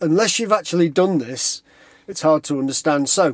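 At a moderate pace, a man speaks over a quiet background, the sound dry with no echo. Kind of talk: casual explanatory chat.

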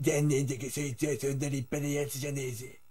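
A man puts on a gruff character voice at a fairly high pitch. His intonation is monotone and flat, and he moves at a fairly quick pace. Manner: boastful, dramatic.

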